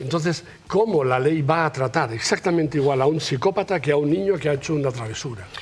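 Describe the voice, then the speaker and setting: Noticeable background noise is present. Words come out at a very fast pace. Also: man. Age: 70s. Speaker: victim's family member. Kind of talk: TV talk show discussion.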